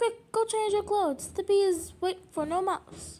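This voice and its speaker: A woman does a squeaky put-on character voice. Her pitch is extremely high and her pace fairly slow. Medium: read story. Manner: eager, dramatic.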